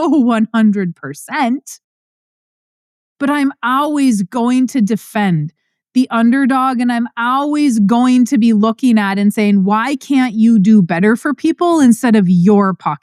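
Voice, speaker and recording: Her voice is loud and high, with very wide pitch swings. The woman talks at a fairly slow pace. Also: dry, close sound with no echo. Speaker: podcast host and farm finance educator. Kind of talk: passionate monologue. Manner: pitch rises when passionate.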